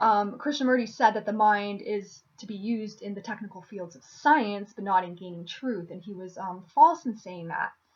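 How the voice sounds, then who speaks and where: A woman's somewhat breathy, medium-pitched voice at a moderate pace, with ordinary pitch variation, big swings in loudness and hardly any pauses. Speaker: philosophy video creator. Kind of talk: video monologue on philosophy. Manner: many filler words and restarts.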